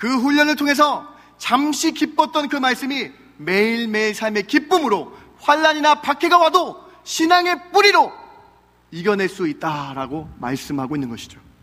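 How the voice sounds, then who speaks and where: A man uses a raised, projected voice at an extremely high pitch. His pitch swings very widely. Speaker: pastor. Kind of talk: sermon. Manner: fast.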